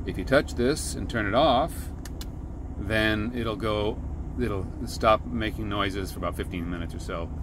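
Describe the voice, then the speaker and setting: Against noticeable background noise, a man speaks at a moderate pace and fairly low pitch, the sound dry with no echo. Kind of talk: tutorial. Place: car. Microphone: phone near.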